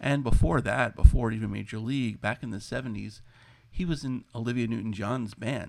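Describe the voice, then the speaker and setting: At a moderate pace, a man talks in a plain, everyday voice of medium pitch. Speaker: podcast host. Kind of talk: scripted narration.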